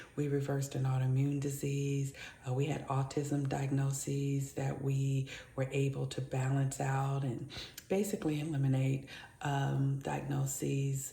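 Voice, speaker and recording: A woman speaks at a fairly slow pace in a very deep, low voice, with monotone, flat intonation, very even loudness and audible room echo. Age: 50s. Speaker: lifestyle vlogger. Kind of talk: casual vlog monologue. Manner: speaking low; halting.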